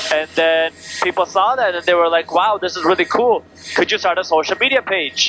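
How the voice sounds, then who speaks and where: A man with a high pitch and a non-native accent, ordinary pitch variation, long and frequent pauses, and noticeable background noise. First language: not English. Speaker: finance educator and content creator. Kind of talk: casual interview. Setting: helicopter.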